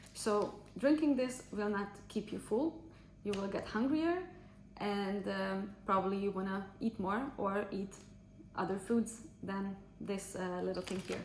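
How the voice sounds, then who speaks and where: Speaking with a non-native accent, a woman talks at a fairly slow pace with a medium pitch and ordinary pitch variation. Audible room echo and noticeable background noise are present. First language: not English. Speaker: fitness trainer. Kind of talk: casual vlog review. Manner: halting, many fillers.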